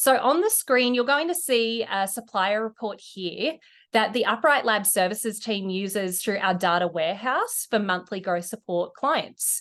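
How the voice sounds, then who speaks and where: A woman's fairly high voice with lively intonation and an Australian accent, over a quiet background. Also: moderate pace. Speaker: e-commerce company executive. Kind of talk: webinar presentation.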